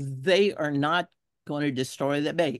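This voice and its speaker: In a Texas accent, a woman with a very deep, low pitch speaks at a fairly slow pace with ordinary pitch variation, a dry, close sound with no echo and a quiet background. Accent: Texas Southern. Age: 70s. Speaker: environmental activist. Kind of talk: testimony.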